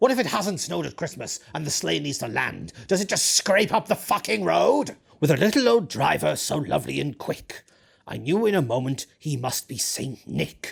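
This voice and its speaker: Moderate pace and fairly high pitch in a man's put-on character voice. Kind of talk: comic grumpy storytelling. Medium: solo performance. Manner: sneering, ranting, profane.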